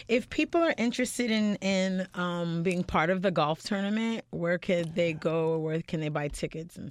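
A woman with a plain, everyday voice and fairly low pitch speaks at a moderate pace with ordinary pitch variation and hardly any pauses. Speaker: radio host. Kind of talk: casual interview. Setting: studio.

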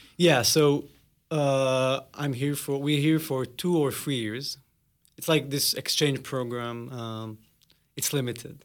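A man with an Israeli accent speaks at a very slow pace, fairly high in pitch with fairly even intonation, on a very clean recording with a silent background. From Israel, near Nazareth. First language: Hebrew. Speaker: cultural emissary. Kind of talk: interview. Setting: studio.

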